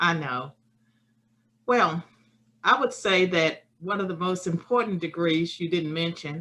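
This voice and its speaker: With a Virginia accent, a woman speaks at a fairly slow pace with long, frequent pauses. Her voice sits fairly low in pitch, with ordinary pitch variation and a bright, sharp tone. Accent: Southern US (Virginia). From rural Virginia, US. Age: 60s. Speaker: political science professor. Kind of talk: remote lecture. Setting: webinar.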